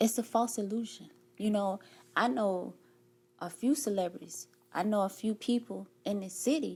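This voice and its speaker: A woman with a medium pitch and an animated tone talks at a moderate pace in a somewhat breathy voice, leaving long, frequent pauses. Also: ordinary pitch variation. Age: 40s. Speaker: life coach. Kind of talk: podcast interview.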